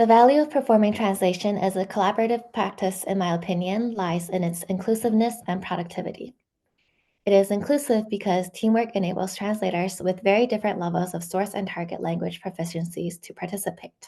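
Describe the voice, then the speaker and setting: A woman with a Chinese accent speaks very fast in a dark, mellow tone, her pitch varying in an ordinary way. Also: medium pitch for a woman. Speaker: software engineer and amateur translator. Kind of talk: academic seminar presentation. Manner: hesitant with frequent um fillers.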